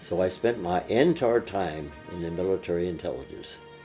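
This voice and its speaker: Music plays in the background as a man with an American accent speaks in a very deep, low pitch with ordinary pitch variation. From Pennsylvania, USA. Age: 80s+. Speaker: WWII veteran. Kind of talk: interview answer.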